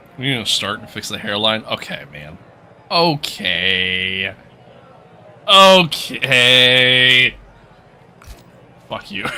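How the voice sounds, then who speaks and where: Over noticeable background noise, a man with an American accent talks at a very slow pace in a relaxed tone, with very wide pitch swings and long, frequent pauses. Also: big swings in loudness. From New York. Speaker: gaming livestreamer. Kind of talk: live gameplay stream, reading chat. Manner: casual, relaxed.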